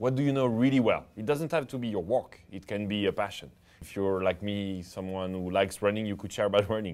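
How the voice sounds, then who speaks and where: With lively intonation, the talking goes along at a fairly quick pace. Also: man. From France. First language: French. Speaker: entrepreneur and social media advice host; social media advice host. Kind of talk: tutorial. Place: studio. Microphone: lapel.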